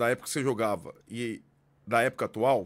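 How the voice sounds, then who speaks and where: The speaker is a man. He talks at a moderate pace. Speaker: sports journalist co-host; podcast host interviewing a former player. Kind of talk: casual chat. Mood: relaxed, conversational. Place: studio.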